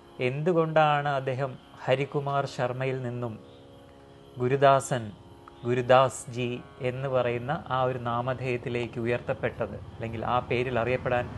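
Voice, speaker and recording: A man talks in a medium pitch with monotone, flat intonation. Light background noise can be heard. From Kerala, India. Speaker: spiritual channel host. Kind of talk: interview. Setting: meditation centre. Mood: calm, respectful. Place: hall. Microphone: lapel.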